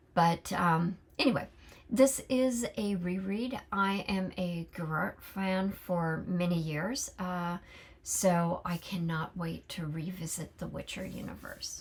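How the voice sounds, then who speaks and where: Very slow, somewhat breathy speech from a woman with a fairly low pitch, ordinary pitch variation and an American accent. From California. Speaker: book vlogger. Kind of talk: casual monologue. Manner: halting, many fillers.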